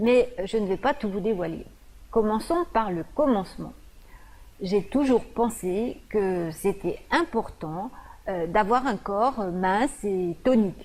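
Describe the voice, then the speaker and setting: The delivery is very slow. The intonation is lively. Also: woman, medium pitch for a woman. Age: 50s. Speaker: nutritionist. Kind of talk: presentation video. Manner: hesitant, frequent fillers.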